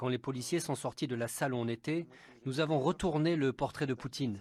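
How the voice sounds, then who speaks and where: This very clean recording with a silent background captures a man of fairly high pitch speaking at a fairly quick pace with ordinary pitch variation. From Russia. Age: 60s. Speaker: opposition politician. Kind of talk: interview testimony. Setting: at home.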